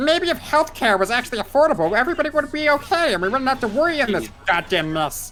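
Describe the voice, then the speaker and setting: A put-on, female-sounding character voice, high-pitched for a woman, races along at a very fast pace with hardly any pauses over clear background noise. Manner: political ranting in a put-on voice.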